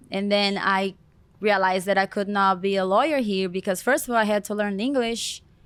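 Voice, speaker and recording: Here a woman talks at a fairly quick pace in a Brazilian accent. Her medium-pitched voice keeps a fairly even intonation on a very clean recording with a silent background. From Brazil, Goiania. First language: Portuguese. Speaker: celebrity hair stylist. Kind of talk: interview.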